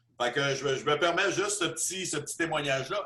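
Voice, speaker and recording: A bright, sharp tone at a moderate pace, in a Quebec accent. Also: man. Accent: Québécois French. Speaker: business presenter. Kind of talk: testimony. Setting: video call.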